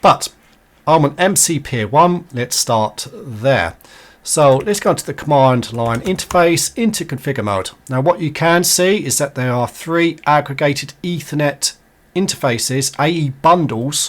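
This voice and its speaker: A man talks in a normal speaking voice at a fairly high pitch. His pace is fairly slow, with lively intonation. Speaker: networking tutorial creator. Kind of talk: tutorial.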